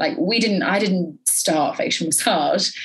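A woman uses a plain, everyday voice, fairly low in pitch, with lively intonation. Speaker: beauty therapist and educator. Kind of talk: casual interview.

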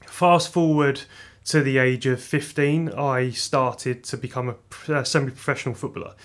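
This man talks at a moderate pace with fairly even intonation and a fairly high pitch, in a very clean recording with a silent background. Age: 30s. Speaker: head of horticulture at a plant nursery. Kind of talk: interview. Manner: hesitant, with fillers.

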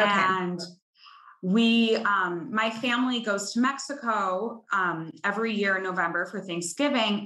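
A woman with an American accent speaks fairly slowly at a medium pitch. Her tone is bright and sharp, with ordinary pitch variation. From Chicago. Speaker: bride sharing her wedding story. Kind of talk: casual interview chat.

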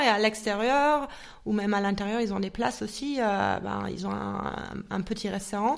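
A woman's fairly high voice proceeds at a rather slow speed. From Munich, Germany. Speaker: psychologist and coach. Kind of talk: interview. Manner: hesitant.

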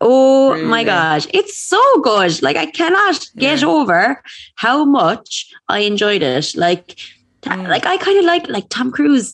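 A high-pitched woman's voice in an Irish accent, fairly slow, with very wide pitch swings. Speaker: podcast co-host. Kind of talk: casual chat.

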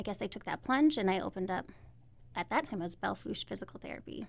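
A woman is speaking. Her voice carries vocal fry. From eastern South Dakota, small town. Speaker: physical therapist, clinic owner. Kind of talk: interview.

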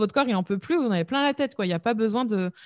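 An energetic woman talks with lively intonation. The recording is very clean and dry, with a silent background and a close sound free of echo. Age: 20s. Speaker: entrepreneur, web marketing podcaster. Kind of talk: casual interview conversation.

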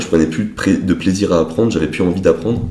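Speaking at a moderate pace, a man with a very deep, low pitch uses ordinary pitch variation in a dark, mellow, somewhat breathy tone. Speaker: wealth management advisor, entrepreneur. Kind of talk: casual interview.

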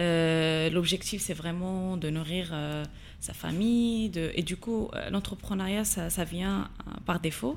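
Her intonation stays fairly even at a very slow pace. The woman's pitch is fairly low. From Morocco, Agadir. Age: 20s. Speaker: social entrepreneur. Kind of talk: interview. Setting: studio. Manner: halting, many hesitations.

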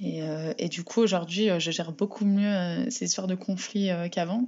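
Medium-pitched speech from a woman at a moderate pace, ordinary pitch variation, with noticeable background noise. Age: 20s. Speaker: municipal election candidate. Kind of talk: interview. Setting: remote call. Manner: halting, many repetitions and fillers.

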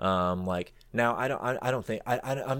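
A man with an American accent speaks at a moderate pace in a fairly low voice with ordinary pitch variation, an unremarkable speaking voice. The recording is very clean with a silent background. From Florida. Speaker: researcher and podcaster. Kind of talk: casual chat.

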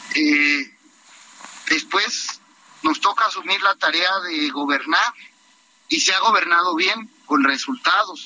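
At a very slow pace, a man talks in a high pitch with lively intonation. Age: 30s. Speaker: party leader, politician. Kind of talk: radio interview.

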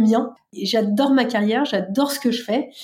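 The woman's voice is fairly high in pitch with a dark, mellow tone. Her pitch varies in an ordinary way. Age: 30s. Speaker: bank innovation executive. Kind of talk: testimony. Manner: hesitant with fillers.

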